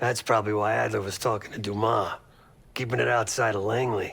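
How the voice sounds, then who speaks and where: A man puts on a raspy character voice at medium pitch. His pace is moderate, with ordinary pitch variation. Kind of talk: video game voice acting. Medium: video game. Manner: sarcastic, blunt, profane.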